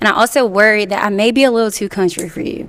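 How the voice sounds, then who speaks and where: With a Southern US accent, a woman talks at a fairly quick pace and a fairly high pitch. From US South (Mississippi). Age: 20s. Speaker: dating show contestant. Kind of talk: casual chat.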